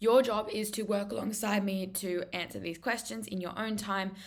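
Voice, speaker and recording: A woman with an Australian accent and vocal fry, in a room with audible echo. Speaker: maths tutor presenter. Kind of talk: lecture. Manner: fast.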